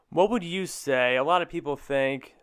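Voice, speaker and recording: On a very clean recording with a silent background, a man with a normal speaking voice and fairly high pitch talks at a moderate pace. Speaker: podcast host and student sports broadcaster. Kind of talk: interview question.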